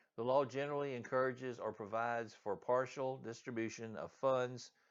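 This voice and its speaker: A man talks fairly quickly, his intonation staying fairly even. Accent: Southern US. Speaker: real estate agent. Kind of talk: reading aloud.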